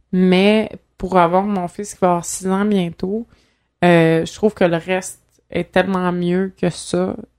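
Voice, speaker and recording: A woman's monotone, flat delivery at a very slow pace. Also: medium pitch for a woman. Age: 20s. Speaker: organ donor and activist. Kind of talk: casual chat.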